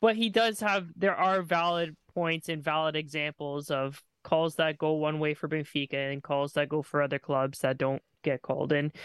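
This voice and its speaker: In an unremarkable speaking voice, a man with a fairly high pitch and ordinary pitch variation talks at a moderate pace with hardly any pauses, on a very clean recording with a silent background and a dry, close sound with no echo. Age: 30s. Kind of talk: casual chat.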